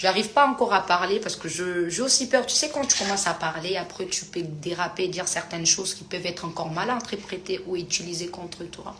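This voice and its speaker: A woman's medium-pitched voice at a fairly quick pace, with ordinary pitch variation and big swings in loudness, amid audible room echo and noticeable background noise. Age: 30s. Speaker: influencer answering fans on a live. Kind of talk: live stream chat reading comments. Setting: live stream.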